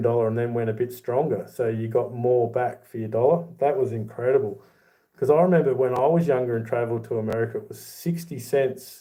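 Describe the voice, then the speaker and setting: Here a man speaks fairly quickly in a medium pitch. His tone is dark and mellow, with ordinary pitch variation. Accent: Australian. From Australia. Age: 40s. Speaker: YouTuber, silver collector. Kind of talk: livestream chat reading comments. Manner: casual, conversational.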